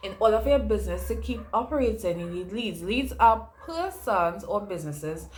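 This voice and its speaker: Audible room echo surrounds a woman's medium-pitched voice. She speaks at a fairly slow pace. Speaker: online educator and entrepreneur. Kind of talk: casual vlog tutorial. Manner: conversational, chatty.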